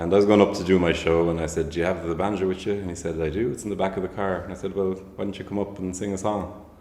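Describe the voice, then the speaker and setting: A man's very deep, low voice in an Irish accent, very fast and monotone with flat intonation, with audible room echo. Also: hardly any pauses. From County Waterford, Ireland. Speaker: folk musician. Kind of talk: casual chat.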